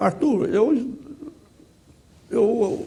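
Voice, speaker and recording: A man speaks in a dark, mellow tone. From Brazil, southeastern Goiás (Goiandira). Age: 80s+. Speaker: retired law professor and lawyer. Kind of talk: interview. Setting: studio. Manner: halting, frequent repetitions.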